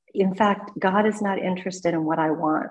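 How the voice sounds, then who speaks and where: A woman is talking here. Her pace is fairly quick. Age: 50s. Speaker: twelve-step meeting member sharing recovery story. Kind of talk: testimony.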